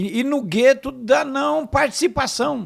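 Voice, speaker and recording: Against a silent background in a very clean recording, a man with an extremely high pitch speaks at a very slow pace with lively intonation. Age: 60s. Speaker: pastor and politician. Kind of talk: podcast interview.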